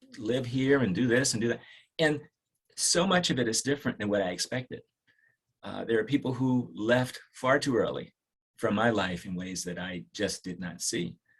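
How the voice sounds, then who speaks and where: A man with a normal speaking voice and an American accent, medium in pitch. He talks at a moderate pace with lively intonation. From Washington DC area. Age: 60s. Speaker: dermatologist. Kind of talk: podcast interview. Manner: reflective, with frequent fillers and restarts.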